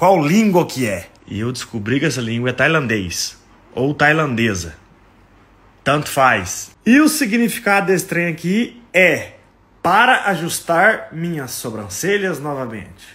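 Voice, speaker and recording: A man's fairly high, bright, sharp voice with vocal fry and very wide pitch swings. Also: fairly slow pace. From Brazil, Minas Gerais. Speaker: comedy content creator. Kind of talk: casual comedic monologue. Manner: animated. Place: home room. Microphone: phone near.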